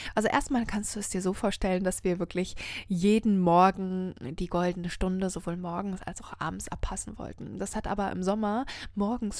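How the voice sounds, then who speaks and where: On a very clean recording, the background is silent. A woman talks at a medium pitch. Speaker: podcast host and happiness coach. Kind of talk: solo inspirational monologue. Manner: slow, savouring.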